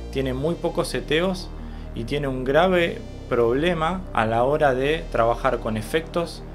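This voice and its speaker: A man's fairly slow speech over music in the background. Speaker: video editor. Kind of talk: software tutorial narration.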